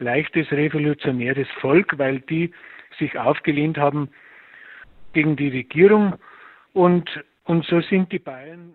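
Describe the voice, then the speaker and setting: With a Bavarian accent, a man speaks at a very slow pace in a fairly high pitch. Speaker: musician. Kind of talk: interview.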